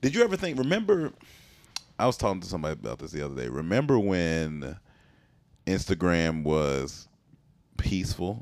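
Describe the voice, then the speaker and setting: Very deep and low-pitched, a man talks at a fairly quick pace, with very wide pitch swings and big swings in loudness. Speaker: comedian and actor. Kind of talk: casual chat. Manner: casual, halting.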